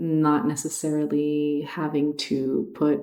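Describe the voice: A woman's low, dark, mellow voice with audible room echo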